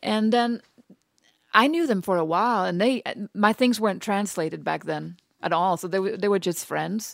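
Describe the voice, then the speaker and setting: With a Danish accent, a woman speaks at a moderate pace and a medium pitch, with ordinary pitch variation. The recording is very clean with a silent background. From Denmark, rural Western Jutland. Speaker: author. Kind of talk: interview.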